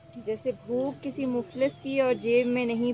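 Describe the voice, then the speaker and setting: Noticeable noise fills the background. A woman is the one talking. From Pakistan. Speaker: poet. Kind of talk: poetry reading.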